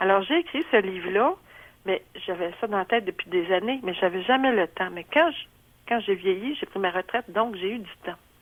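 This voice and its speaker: Speaking at a moderate pace with lively intonation, a woman with a Quebec accent uses a medium pitch. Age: 70s. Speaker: retiree. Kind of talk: testimony. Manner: halting, many fillers.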